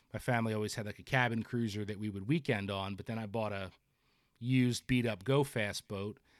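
A man with a New Jersey accent, fairly low in pitch, talking at a fairly quick pace with fairly even intonation. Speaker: fishing editor and podcast host. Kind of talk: casual chat.

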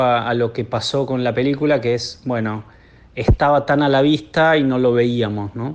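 The pace is moderate. A man talks at a medium pitch. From Buenos Aires, Argentina. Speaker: film director. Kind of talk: interview. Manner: halting, many repetitions.

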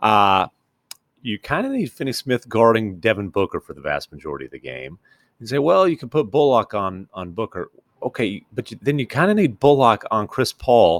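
A man's voice shows very wide pitch swings and big swings in loudness, with a dry, close sound and no echo. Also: medium pitch for a man, moderate pace. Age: 40s. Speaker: NBA reporter. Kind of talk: casual chat. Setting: on location.

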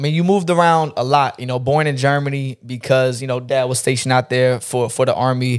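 A man with an American accent uses a normal speaking voice at medium pitch, with fairly even intonation. He talks at a fairly quick pace with hardly any pauses, in a very clean recording with a silent background. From North Carolina (Fort Bragg area), US. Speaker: barber and internet personality. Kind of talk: casual chat.

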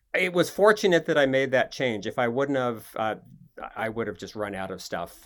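In a very clean recording with a silent background, a man with an American accent speaks in a plain, everyday voice at a medium pitch, with a moderate pace and lively intonation. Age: 60s. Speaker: rock climber. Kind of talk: interview.

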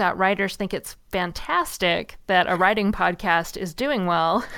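A woman's fairly low voice with vocal fry and an American accent. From US Pacific Northwest. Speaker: writer and author. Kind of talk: casual interview chat.

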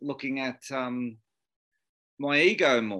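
A man with an Australian accent has a bright, sharp tone and a fairly high pitch. The background is quiet. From Australia, Sydney. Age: 40s. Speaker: cleaning business owner. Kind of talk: panel discussion.

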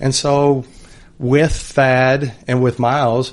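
Over a quiet background, a man with an American accent talks at a medium pitch. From Oklahoma. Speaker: NBA team executive. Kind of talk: interview. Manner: casual, halting with repetitions.

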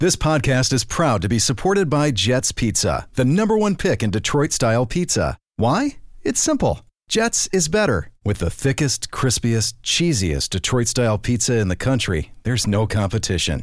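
A man with vocal fry speaks at a moderate pace and medium pitch, his pitch swinging very widely while his loudness stays very even. The recording is very clean, with a silent background. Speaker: sports radio co-host. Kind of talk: casual chat.

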